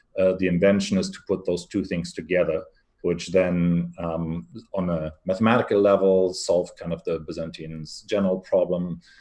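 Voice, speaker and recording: Against a quiet background, a man with a German accent speaks in a very deep, low pitch and a dark, mellow tone, his intonation monotone and flat. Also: moderate pace. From Germany. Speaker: venture capital investor. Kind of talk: interview.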